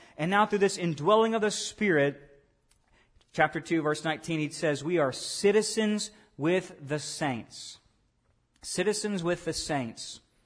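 A man speaks in a high voice with a Southern US accent, at a fairly slow pace. He leaves long, frequent pauses over a quiet background. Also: ordinary pitch variation. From US South, Arkansas. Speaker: pastor. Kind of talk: sermon. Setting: church.

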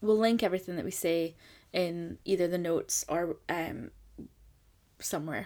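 In a very clean recording with a silent background, a woman with a Scottish accent speaks at a moderate pace in a dark, mellow, fairly low voice with ordinary pitch variation and long, frequent pauses. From Scotland. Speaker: podcast co-host. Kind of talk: casual chat. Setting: home attic studio.

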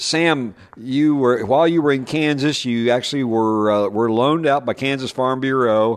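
A man talks in a normal speaking voice of medium pitch. His pace is fairly slow, and his pitch varies in an ordinary way. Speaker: podcast host, ag broadcaster. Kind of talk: casual interview conversation. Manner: folksy, relaxed, with many fillers.

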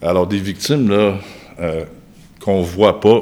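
A man's fairly low voice keeps a moderate pace. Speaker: surgeon. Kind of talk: casual interview.

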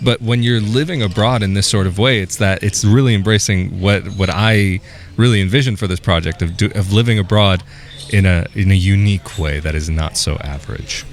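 A man with a Californian accent talks at a fairly quick pace with ordinary pitch variation over noticeable background noise. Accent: Californian American. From US, California. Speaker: YouTuber interviewer. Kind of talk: casual interview. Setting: outdoors.

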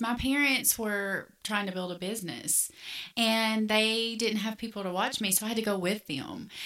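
Delivered at a moderate speed, an unremarkable speaking voice shows ordinary pitch variation. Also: woman. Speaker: podcast co-host. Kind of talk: casual chat.

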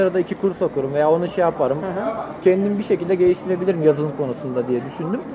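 A man talks at a very fast pace in a high voice with lively intonation, with audible room echo and crowd noise in the background. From Turkey, Antalya. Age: 20s. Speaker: computer engineering student. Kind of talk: casual chat. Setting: outdoor restaurant.

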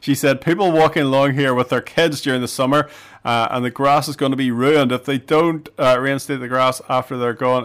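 A man's plain, everyday voice at a fairly quick pace, with hardly any pauses and fairly even intonation, on a very clean recording with a silent background. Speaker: radio host. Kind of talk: casual radio chat. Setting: radio studio.

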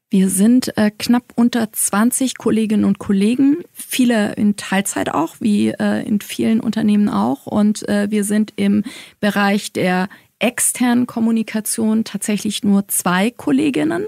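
At a fairly slow pace and very even loudness, a woman talks at a medium pitch in a dark, mellow tone with ordinary pitch variation, the sound dry and close with no echo. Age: 40s. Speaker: head of corporate communications at a publisher. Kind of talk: interview. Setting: studio at the publisher's office.

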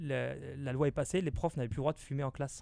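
A man with a fairly high pitch speaks in a dark, mellow tone marked by vocal fry. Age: 20s. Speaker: radio host. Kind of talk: casual chat.

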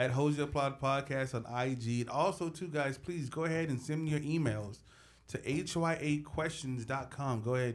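The pitch of this man's voice is medium and varies in an ordinary way. He keeps a fairly quick pace. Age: 30s. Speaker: podcast co-host. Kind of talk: casual chat. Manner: halting.

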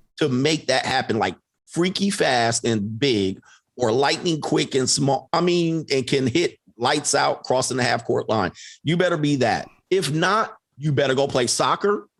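A man's fairly high voice, an ordinary speaking voice with lively intonation, very even loudness and a fairly slow pace. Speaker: coach and online content creator. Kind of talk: casual conversation. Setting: live stream.

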